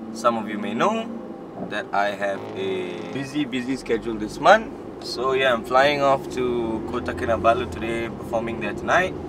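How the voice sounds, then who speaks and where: Over loud background noise, a man speaks at a moderate pace with ordinary pitch variation, the sound itself dry with no echo. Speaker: vlogger. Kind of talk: casual vlog chat. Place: car. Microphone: phone near.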